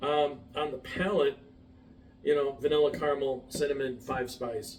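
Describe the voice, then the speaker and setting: A fairly high-pitched man keeps a moderate pace and fairly even intonation while noticeable background noise continues. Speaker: whiskey reviewer. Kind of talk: tasting review to camera. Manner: hesitant, many fillers.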